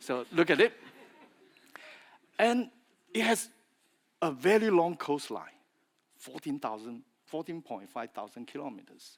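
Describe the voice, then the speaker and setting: A man with a Chinese accent speaks at a fairly slow pace and a fairly high pitch, with long, frequent pauses. His delivery has very wide pitch swings and big swings in loudness. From China (Fujian). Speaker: industry speaker, feed additive specialist. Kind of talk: conference presentation. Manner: halting, with fillers and repetitions.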